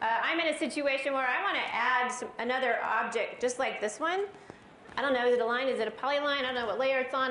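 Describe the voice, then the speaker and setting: A woman talks at a very fast pace and a high pitch. Noticeable background noise and audible room echo come through. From US West Coast, Los Angeles area. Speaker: software trainer presenter. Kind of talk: live tech presentation. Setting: stage with audience. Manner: animated.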